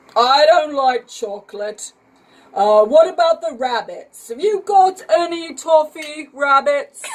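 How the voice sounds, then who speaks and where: At a fairly slow pace, a woman uses a put-on character voice pitched high. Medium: read story. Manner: hesitant, stammering with "uh" and "oh".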